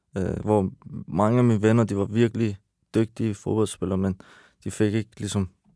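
A man speaks in a dark, mellow tone with monotone, flat intonation and long, frequent pauses. The sound is dry and close with no echo, in a very clean recording with a silent background. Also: fairly low pitch for a man, moderate pace. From Iran, raised in Denmark from age 6. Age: 30s. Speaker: rapper. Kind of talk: casual chat. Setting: studio.

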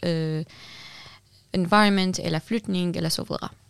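A woman's medium-pitched voice with ordinary pitch variation, a dry, close sound with no echo, and a very clean recording with a silent background. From Syria. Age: young. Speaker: activist and building designer. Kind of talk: interview. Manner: halting.

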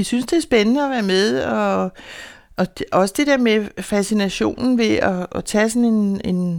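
A woman with an ordinary speaking voice, medium pitch and fairly slow pace, on a very clean recording with a silent background. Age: 60s. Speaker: beekeeper and housing association resident. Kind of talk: casual interview; reading aloud.

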